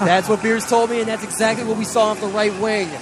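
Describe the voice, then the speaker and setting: A man talks at a fairly quick pace. There is music in the background. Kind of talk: live basketball color commentary. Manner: animated, excited, quick reactions to each shot.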